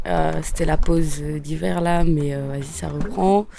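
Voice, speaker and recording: Amid noticeable background noise, a woman speaks very slowly with ordinary pitch variation. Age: 20s. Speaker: peer support worker. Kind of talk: casual testimony. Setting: on a sailboat. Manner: hesitant, many fillers.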